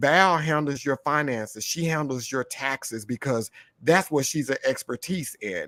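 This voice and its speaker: In a dry, close sound with no echo, a man talks at a moderate pace with an animated, bright, sharp tone and ordinary pitch variation. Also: very clean recording, silent background. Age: 50s. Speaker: podcast host. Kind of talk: casual chat.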